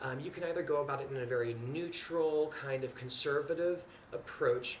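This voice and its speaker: Someone with an American accent speaks with ordinary pitch variation in a room with audible echo and noticeable background noise. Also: man. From US Midwest, Indiana. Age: 30s. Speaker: interior designer. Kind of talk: audition talk to camera. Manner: casual, hesitant with many fillers.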